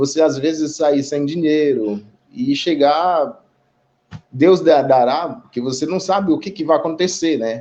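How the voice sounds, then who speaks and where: An unremarkable speaking voice with ordinary pitch variation. The pace is fairly slow. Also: man, fairly high pitch for a man. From Haiti. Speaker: immigrant community representative. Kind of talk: live online panel discussion. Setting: online live stream.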